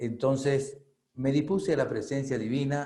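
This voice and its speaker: A man talks in a dark, mellow tone, with audible room echo in the space. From Venezuela. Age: 60s. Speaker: spiritual reader and author. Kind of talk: testimony. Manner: halting, many fillers.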